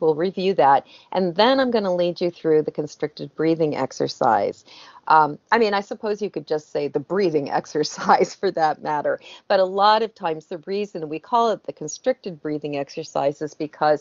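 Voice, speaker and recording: At a moderate pace, a woman with a fairly low pitch talks over a quiet background. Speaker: guest. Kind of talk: interview answer. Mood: calm, explanatory. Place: home room. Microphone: video call.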